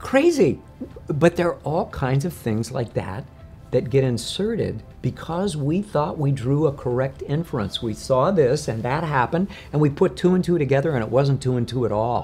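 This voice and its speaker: A man keeps a moderate pace while faint music plays behind him. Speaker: coach or speaker. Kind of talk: interview answer. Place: home room. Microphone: lapel.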